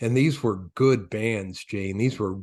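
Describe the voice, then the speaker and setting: A plain, everyday voice from a man with an American accent, moderate in pace and fairly even in intonation, against a quiet background. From Michigan. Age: 60s. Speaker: retired radio executive, music station owner. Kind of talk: casual interview chat.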